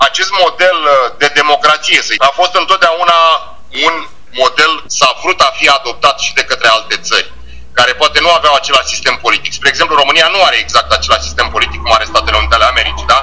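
Very fast male speech beneath clearly audible background noise. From Romania. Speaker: Romanian-American commentator on US politics. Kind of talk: interview.

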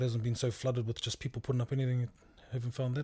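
A man with a New Zealand accent, dark and mellow in tone, somewhat breathy, monotone and flat, at a very fast pace. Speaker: podcast host. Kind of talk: casual interview chat. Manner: casual, relaxed.

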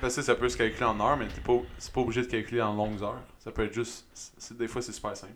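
At a very fast pace, a man talks at a medium pitch with monotone, flat intonation. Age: 20s. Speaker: fitness coach. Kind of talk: casual chat. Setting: studio.

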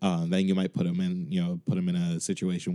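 A very fast-talking man with an American accent. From Chicago. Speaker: music director. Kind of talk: recorded interview answers. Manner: animated.

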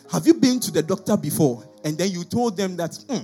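With music in the background, a man with a high pitch talks in an animated tone at a fairly quick pace, with very wide pitch swings. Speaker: preacher. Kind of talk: sermon. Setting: church.

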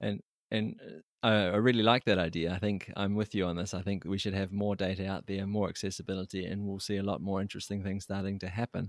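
A man with a New Zealand accent talks at a very fast pace in a fairly low pitch. His monotone, flat intonation comes through on a very clean recording with a silent background. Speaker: podcast host. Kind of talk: interview.

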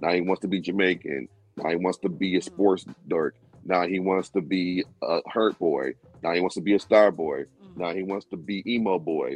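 Music plays behind a man with a very deep, low voice. He speaks at a moderate pace with fairly even intonation. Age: 30s. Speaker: music producer. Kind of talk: casual chat.

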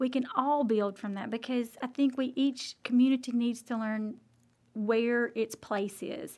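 With an Alabama accent, a woman speaks in a high voice at a fairly slow pace, keeping her intonation fairly even. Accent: Southern US (Alabama). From US South, Alabama. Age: 40s. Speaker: local politician. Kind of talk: interview.

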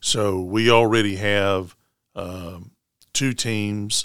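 Fairly low-pitched male voice in a Tennessee accent, fairly even intonation, very clean recording with a silent background. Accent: US Southern (Tennessee). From Middle Tennessee (Rutherford County). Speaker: Baptist association director of missions. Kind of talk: interview.

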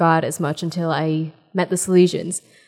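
In a very clean recording with a silent background, a woman with an American accent talks at a fairly slow pace in a fairly low pitch, her intonation monotone and flat. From New Jersey. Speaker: pre-K teacher. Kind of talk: casual chat. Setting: retreat.

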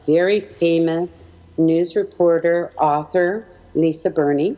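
A woman with a Canadian accent, fairly low in pitch, her intonation fairly even. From Canada, Edmonton, Alberta. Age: 60s. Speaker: educator and small business owner. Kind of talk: interview.

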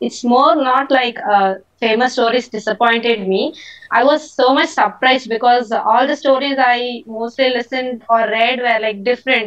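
A high-pitched woman's voice in an Indian accent, at a moderate pace with fairly even intonation. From India, Tamil Nadu. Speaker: listener calling in. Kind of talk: casual chat. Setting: video call.

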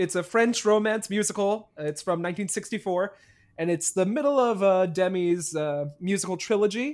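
A moderate pace carries the speech, delivered with an American accent. The background is silent, and the recording very clean. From New Jersey. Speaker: podcast co-host. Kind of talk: casual chat.

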